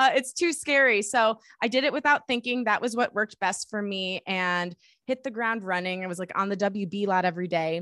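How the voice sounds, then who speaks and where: In an American accent, a bright, sharp voice moves at a fairly quick pace with lively intonation and hardly any pauses, recorded very cleanly with a silent background and a dry, close sound with no echo. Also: woman, medium pitch for a woman. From US Midwest, suburbs of Detroit, Michigan. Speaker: podcast producer, host and singer-songwriter. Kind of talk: interview.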